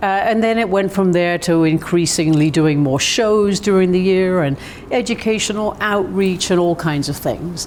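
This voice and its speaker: A woman at medium pitch and moderate pace, with ordinary pitch variation, very even loudness and noticeable background noise. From southern England. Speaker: arts administrator. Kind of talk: interview. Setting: visitor center, over tea.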